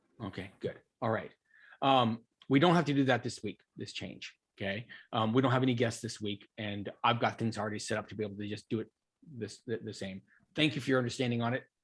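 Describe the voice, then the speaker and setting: Speaking very fast, a man uses a medium pitch. His pitch variation is ordinary. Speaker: coding instructor. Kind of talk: online class chat. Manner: loud.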